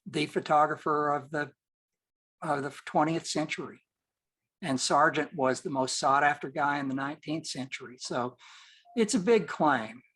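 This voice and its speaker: Against a quiet background, a man with an American accent speaks at a fairly slow pace with long, frequent pauses, a fairly high pitch and ordinary pitch variation. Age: 60s. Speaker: portrait photographer. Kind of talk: interview. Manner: halting.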